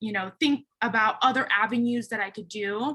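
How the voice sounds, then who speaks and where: A woman with a Californian accent speaks at a moderate pace, her tone bright and sharp. Her pitch is fairly high, with ordinary variation. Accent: Californian American English. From Philippines, raised in the San Francisco Bay Area from age seven. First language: a Philippine language (English is her third language). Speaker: recruiting manager, panelist. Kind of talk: panel discussion. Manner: casual, with frequent fillers.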